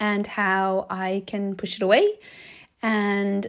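Her accent is Irish. This woman's voice sits at a medium pitch. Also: very clean recording, silent background. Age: 40s. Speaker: life coach, podcast host. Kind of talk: solo podcast monologue, reflective talk. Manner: warm, gentle.

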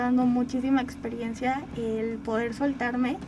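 A woman talks at a fairly slow pace amid noticeable background noise. The room has an audible echo. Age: 20s. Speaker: podcaster and communication student. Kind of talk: radio interview.

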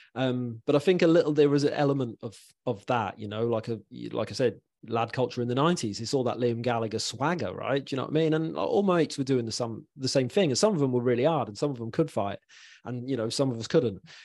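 A man at medium pitch speaks very fast with an English accent and ordinary pitch variation, against a quiet background. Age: 40s. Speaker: mental health podcast host. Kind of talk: casual chat.

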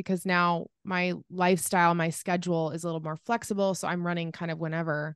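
A woman talks at a very fast pace in a fairly low pitch. The background is quiet. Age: 30s. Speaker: podcast host. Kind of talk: casual interview. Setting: remote call.

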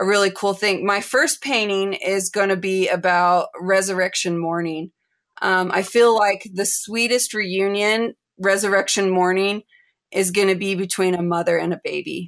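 Against a silent background in a very clean recording, a woman with an American accent speaks fairly slowly in an ordinary speaking voice, medium in pitch with fairly even intonation. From United States. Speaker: artist and family historian. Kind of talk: interview.

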